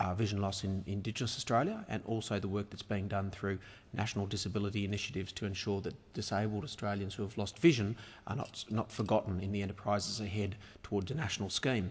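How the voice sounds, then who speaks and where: At a very fast pace, a man talks in a fairly low, somewhat breathy voice with fairly even intonation. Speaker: member of parliament, opposition health spokesperson. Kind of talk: parliamentary adjournment speech.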